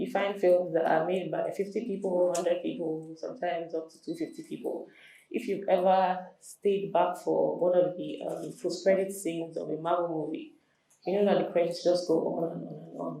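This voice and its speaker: In a room with audible echo, a woman with a fairly low pitch speaks at a moderate pace, her intonation fairly even but her loudness swinging widely. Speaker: entertainment lawyer. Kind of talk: lecture.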